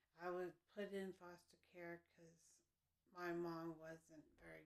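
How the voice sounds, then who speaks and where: Very slow and flat in intonation, the speech comes with an American accent. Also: woman. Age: 60s. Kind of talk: interview. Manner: halting.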